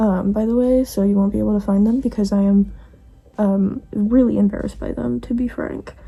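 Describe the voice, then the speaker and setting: A woman talks at a fairly quick pace. Her tone is dark and mellow, and somewhat breathy. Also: medium pitch for a woman, ordinary pitch variation. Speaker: vlogger. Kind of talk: casual chat. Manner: fast.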